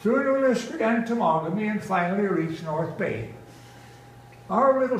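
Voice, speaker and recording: Over noticeable background noise, a man talks at a moderate pace. His pitch swings are very wide. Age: 80s+. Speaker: poet. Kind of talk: poetry reading. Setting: live festival audience.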